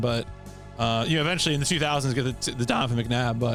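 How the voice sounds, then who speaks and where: A man's fairly high voice with lively intonation at a very fast pace, music in the background. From Philadelphia.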